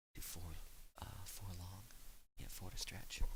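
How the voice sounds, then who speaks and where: A man whispers at a moderate pace. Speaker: gaming ASMR creator. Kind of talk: softly spoken ASMR gameplay commentary. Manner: soft-spoken.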